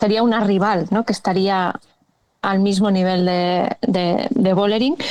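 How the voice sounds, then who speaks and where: A woman with a Catalan accent at medium pitch, fairly slow, with fairly even intonation and very even loudness. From Catalonia. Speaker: cycling podcast co-host. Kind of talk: casual chat.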